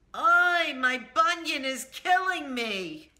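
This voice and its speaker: A woman is speaking. Audible room echo surrounds her voice. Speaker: humor vlogger. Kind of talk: comedic tutorial vlog. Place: home room. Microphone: phone near.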